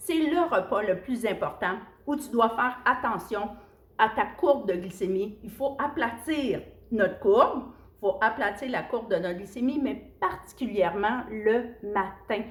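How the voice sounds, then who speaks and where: Speaking in a Quebec accent, a woman has a fairly high, somewhat breathy voice. Her intonation is lively and her pace fairly slow. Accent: Québécois French. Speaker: nutrition coach. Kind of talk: casual video talk. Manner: chatty.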